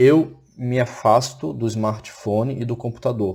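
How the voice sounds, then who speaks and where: In a dark, mellow tone that is somewhat breathy, a man talks with ordinary pitch variation. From Florianópolis, southern Brazil. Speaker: teacher. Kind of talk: recorded online lecture.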